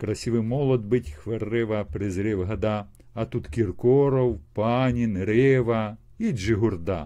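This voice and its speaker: A man talks at a very slow pace in a dark, mellow tone. The background is quiet. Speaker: video chat blogger. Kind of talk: casual chat with poetry reading. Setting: video call via chat roulette. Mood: wry, humorous. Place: home room. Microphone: earbuds.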